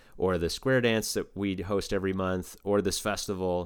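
A man with a normal speaking voice talks at a moderate pace in a fairly low pitch, his intonation fairly even, on a very clean recording with a silent background. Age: 30s. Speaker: banjo player and community organizer. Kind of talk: casual interview chat.

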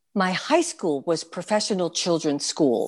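A woman has an ordinary speaking voice, fairly low in pitch with ordinary pitch variation. The background is quiet. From New York City. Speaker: stage performer. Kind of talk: interview.

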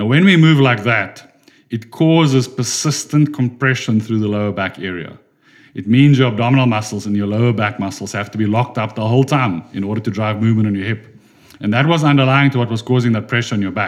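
Talking at a very fast pace, a man with a South African accent uses a medium pitch and ordinary pitch variation. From South Africa, Durban. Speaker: physiotherapist. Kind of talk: podcast interview.

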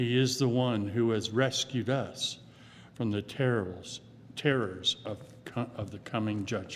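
A plain, everyday voice from a man, at a fairly slow pace with fairly even intonation. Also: medium pitch for a man. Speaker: worship leader. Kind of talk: prayer. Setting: church.

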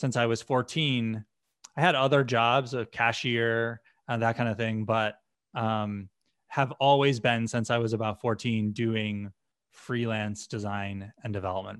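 An unremarkable speaking voice belongs to a man with an American accent, medium pitch and ordinary pitch variation. He talks at a fairly slow pace in a dry, close sound with no echo and a quiet background. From US Northeast, western Massachusetts. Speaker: software company founder and executive. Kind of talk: podcast interview.

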